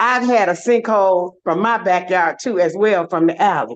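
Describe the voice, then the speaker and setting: Normal pitch movement runs through speech delivered at a moderate speed. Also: woman. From Detroit, US Midwest. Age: 60s. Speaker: public commenter. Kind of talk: public comment at meeting.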